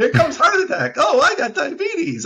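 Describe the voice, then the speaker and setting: A man talks at a moderate pace. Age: 60s. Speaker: bodybuilder and vegan lecturer. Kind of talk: podcast interview. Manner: animated.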